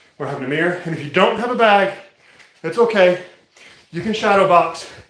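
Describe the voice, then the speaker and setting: There is audible room echo around a man's speaking voice. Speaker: martial arts fitness streamer. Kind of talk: live workout commentary. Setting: live stream. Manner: fast.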